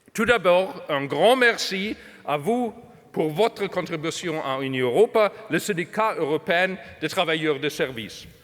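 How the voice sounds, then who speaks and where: A fairly slow, lively-intoned delivery in a German accent. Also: man, high pitch for a man. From Germany. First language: German (speaking French). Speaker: trade union official. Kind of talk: conference speech. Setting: stage with audience. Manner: halting.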